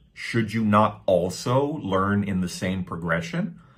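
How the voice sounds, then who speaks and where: A man with a Canadian accent speaks at a fairly slow pace with lively intonation and audible room echo. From Canada. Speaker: English teacher. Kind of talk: tutorial. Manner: casual, repetitive with fillers.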